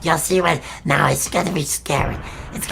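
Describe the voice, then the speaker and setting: At a moderate pace and middle pitch, a raspy, cartoonish character voice comes through over clear background noise. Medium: puppet show. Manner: rambling, repetitive, stammering.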